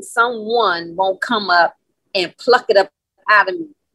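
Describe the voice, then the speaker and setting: A woman's bright, sharp voice at a fairly slow pace, in a dry, close sound with no echo. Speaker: call participant. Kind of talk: testimony. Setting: video call.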